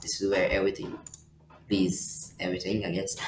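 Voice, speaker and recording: A man speaks with a fairly low pitch. There is noticeable background noise. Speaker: software tutorial youtuber. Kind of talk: tutorial. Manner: fast; halting, many fillers.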